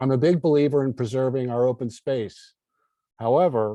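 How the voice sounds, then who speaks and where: A man speaks in an unremarkable speaking voice at a moderate pace, with ordinary pitch variation. The sound is dry and close with no echo, and the background is quiet. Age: 60s. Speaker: political candidate. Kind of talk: closing statement.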